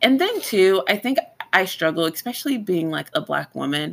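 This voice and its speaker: A woman speaks in a medium pitch with an animated tone. Her pitch swings very widely. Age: 30s. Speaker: esthetician podcast co-host. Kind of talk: casual chat.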